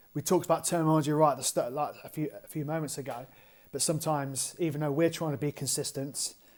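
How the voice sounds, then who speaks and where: On a very clean recording with a silent background, a man with an English accent speaks very fast at a fairly high pitch, in a monotone, flat delivery. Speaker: strength and conditioning coach. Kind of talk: podcast interview.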